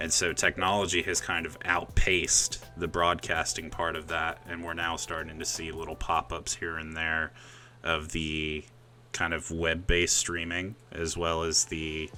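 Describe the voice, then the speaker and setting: The tone is bright and sharp, the intonation monotone and flat, and the pace fairly slow. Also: man, very deep, low pitch for a man. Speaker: podcast host. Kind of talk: casual chat. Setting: live stream with guests on Discord. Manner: loud.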